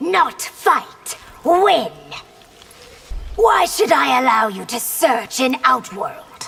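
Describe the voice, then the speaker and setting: Using a cartoonish character voice, a woman speaks very slowly at a high pitch with very wide pitch swings and long, frequent pauses. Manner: imperious.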